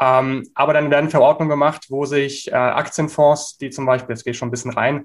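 Speaking at a moderate pace, a man uses a fairly high pitch. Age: 20s. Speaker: startup founder. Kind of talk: interview. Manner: hesitant with frequent fillers.

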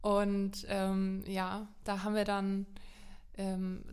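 Her pitch sits in the middle range for a woman. She speaks with monotone, flat intonation. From Lower Franconia, Germany. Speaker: podcast co-presenter. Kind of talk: casual chat.

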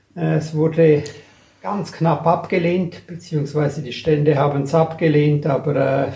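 At a moderate pace, a man with a fairly high pitch speaks with fairly even intonation amid noticeable background noise. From Graubünden, Switzerland. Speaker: portfolio manager. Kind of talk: casual interview.

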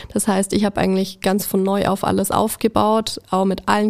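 A woman speaks at a moderate pace with hardly any pauses, her intonation monotone and flat and her loudness very even. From Allgäu, Bavaria. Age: 20s. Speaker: kindergarten teacher. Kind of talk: casual interview.

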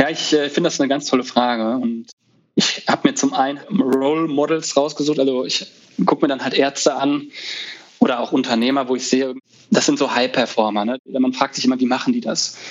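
An ordinary speaking voice at a fairly quick pace with fairly even intonation. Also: man, fairly high pitch for a man. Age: 30s. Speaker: resident physician and conference founder. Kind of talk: casual interview.

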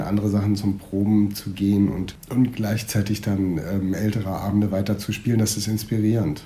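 There is audible room echo around this man's voice. He speaks in a fairly low pitch with monotone, flat intonation. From northern Germany, Schleswig-Holstein. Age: 30s. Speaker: stage actor. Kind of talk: casual interview. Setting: theatre building.

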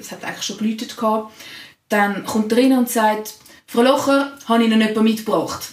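With audible room echo, a woman talks at a fairly quick pace, her fairly high pitch held in fairly even intonation. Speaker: secondary school teacher. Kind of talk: casual chat.

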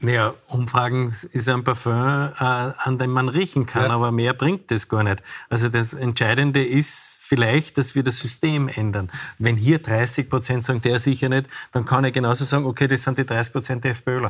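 A man talks with fairly even intonation and a somewhat breathy voice. His loudness stays very even throughout. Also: medium pitch for a man, moderate pace. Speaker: restaurateur and former politician. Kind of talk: TV panel discussion.

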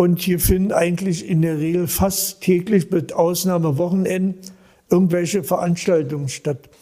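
Against noticeable background noise, a man with a high pitch speaks at a fairly slow pace and with fairly even intonation. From Berlin. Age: 80s+. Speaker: volunteer paramedic. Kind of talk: interview. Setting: on location, not studio.

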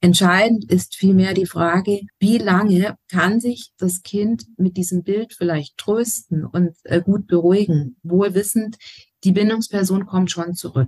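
A woman speaks very slowly at a medium pitch, her voice somewhat breathy with ordinary pitch variation, recorded dry and close with no echo. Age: 40s. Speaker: educator and family counselor. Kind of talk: interview.

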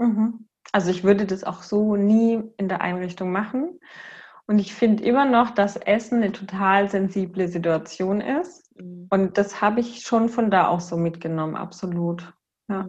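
Over a quiet background, a woman talks at a fairly slow pace in a somewhat breathy, medium-pitched voice with ordinary pitch variation. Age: 30s. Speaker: kindergarten director and systemic counselor. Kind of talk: interview conversation.

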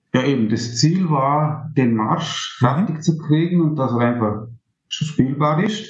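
Over audible room echo, a man speaks at a very slow pace with lively intonation. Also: fairly high pitch for a man. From Austria, Vorarlberg (Montafon). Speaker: amateur musician and composition student. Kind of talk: interview. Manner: halting.

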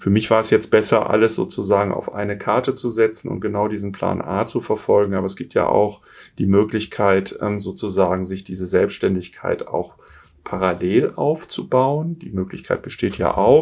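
At a moderate pace, a man in a plain, everyday voice speaks at a fairly low pitch with ordinary pitch variation and big swings in loudness. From Germany, Essen (Ruhr area). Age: 50s. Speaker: business coach, former executive. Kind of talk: interview.

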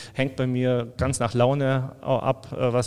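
A man's voice at a medium pitch. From Allgäu, Bavaria, Germany. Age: 50s. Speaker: brewery export manager. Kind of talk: casual interview.

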